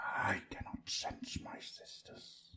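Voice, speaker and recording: A man whispers in a put-on character voice that hisses and creaks. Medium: read story. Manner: cold and haughty.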